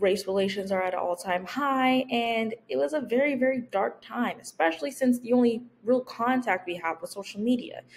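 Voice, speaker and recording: With lively intonation, a woman keeps a moderate pace. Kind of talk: persuasive speech presentation. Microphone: webcam.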